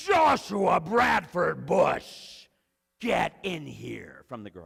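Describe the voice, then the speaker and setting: Shouting at a very slow pace, a man uses a raspy put-on character voice with a stern tone. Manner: loud, stern, commanding.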